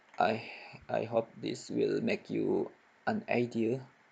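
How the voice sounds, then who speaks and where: A man's very slow speech with a non-native accent. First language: not English. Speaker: software tutorial maker. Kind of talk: tutorial.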